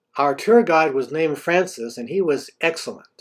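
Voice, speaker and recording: It's an unremarkable speaking voice from a man, pitched fairly high. He talks at a moderate pace with ordinary pitch variation. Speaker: travel video narrator. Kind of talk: scripted narration.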